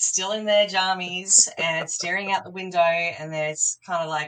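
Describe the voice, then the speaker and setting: A woman speaks with an Australian accent and a fairly low pitch. Her tone is bright and sharp. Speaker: partner management professional. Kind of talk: podcast interview.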